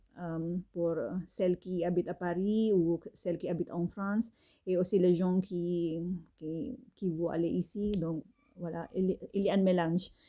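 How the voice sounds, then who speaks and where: Speaking at a very slow pace, a woman with a non-native accent keeps a medium pitch and fairly even intonation. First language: not French (speaking French). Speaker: fashion designer and author. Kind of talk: casual monologue. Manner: halting, many fillers.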